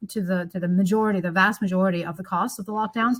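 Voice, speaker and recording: Somewhat breathy, a woman talks with an American accent and ordinary pitch variation. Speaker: economics professor. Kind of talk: podcast interview. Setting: studio.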